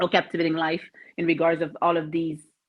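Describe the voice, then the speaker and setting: In a French Canadian accent, a woman speaks with a fairly low pitch. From Quebec, Canada. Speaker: mental toughness coach. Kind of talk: podcast interview.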